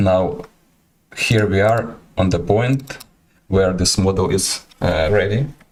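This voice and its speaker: The speaker has a Ukrainian accent and ordinary pitch variation. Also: man. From Ukraine. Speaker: artist and iguana keeper streaming. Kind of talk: livestream presentation and Q&A. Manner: halting, many hesitations.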